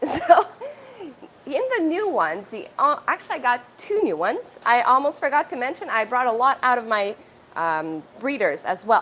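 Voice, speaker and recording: A woman with a French accent, high-pitched, with very wide pitch swings at a moderate pace. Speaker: aquarium store owner. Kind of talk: live stream tour. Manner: casual, halting.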